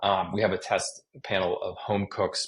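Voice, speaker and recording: The background stays quiet. A man does the talking. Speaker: chef and magazine editor. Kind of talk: interview conversation. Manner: fast; casual, filler-heavy.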